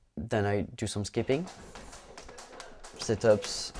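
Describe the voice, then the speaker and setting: A man's fairly low, dark and mellow voice with a French accent. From France, Clermont-Ferrand. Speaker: amateur Thai boxer. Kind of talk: documentary interview. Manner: halting.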